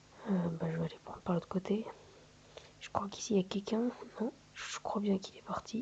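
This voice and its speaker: Over noticeable background noise, a soft-spoken man talks at a moderate pace with a high pitch. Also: long, frequent pauses, big swings in loudness. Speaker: gaming youtuber. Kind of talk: gameplay commentary. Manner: halting, many hesitations.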